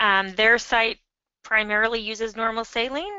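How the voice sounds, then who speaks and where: The voice belongs to a woman and sits at a fairly high pitch. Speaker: nurse leader and webinar moderator. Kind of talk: webinar Q&A. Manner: fast.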